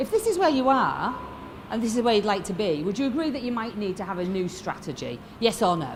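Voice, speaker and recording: A woman's animated, fairly high voice in a Yorkshire accent, fairly quick with lively intonation and long, frequent pauses, amid audible room echo. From northern England, Lancashire (Fleetwood). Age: 50s. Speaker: motivational speaker. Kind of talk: motivational keynote speech. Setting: stage with audience.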